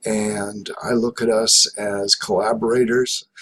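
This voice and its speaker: The man's voice sits at a fairly low pitch. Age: 70s. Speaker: professor. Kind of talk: lecture. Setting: home office. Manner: halting.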